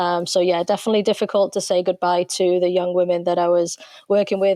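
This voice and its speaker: A woman with an English accent, fairly low in pitch, with a dark, mellow tone, monotone, flat intonation and a fairly quick pace, in a dry, close recording with no echo. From England. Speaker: soccer coach. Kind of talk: interview.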